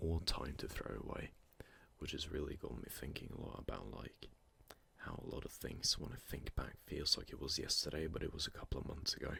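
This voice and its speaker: A man with a very deep, low pitch talks at a fairly quick pace with ordinary pitch variation. Noticeable background noise accompanies him. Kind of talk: ASMR close-mic sleep talk.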